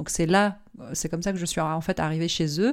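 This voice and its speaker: With an ordinary speaking voice, a woman talks at a fairly quick pace and fairly low pitch, her intonation fairly even, on a very clean recording over a silent background. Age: 30s. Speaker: marketing consultant and entrepreneur. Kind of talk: interview.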